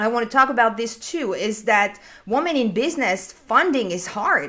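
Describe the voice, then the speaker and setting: A woman speaks with a French accent at a moderate pace. Her fairly high voice has a bright, sharp tone and lively intonation. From France. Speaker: business consultant. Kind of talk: panel discussion. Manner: halting, repeats words.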